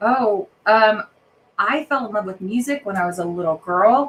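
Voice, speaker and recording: In a General American accent, a woman speaks at a medium pitch and a moderate pace with lively intonation. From Colorado. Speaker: actress and opera singer. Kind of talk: interview. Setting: live podcast. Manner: hesitant, many fillers.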